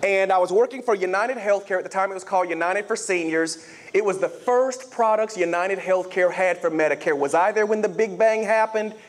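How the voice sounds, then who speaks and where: High-pitched man's voice in a Southern US accent, fairly quick, with ordinary pitch variation and noticeable background noise. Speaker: health insurance sales executive. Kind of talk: motivational keynote speech. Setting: stage with audience. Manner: animated.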